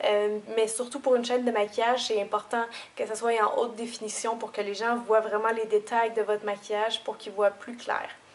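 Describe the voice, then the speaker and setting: In a Quebec accent, a woman speaks with monotone, flat intonation. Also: fairly high pitch for a woman, fairly quick pace. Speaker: beauty youtuber. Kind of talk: tutorial. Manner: hesitant, many fillers. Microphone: camera's built-in audio.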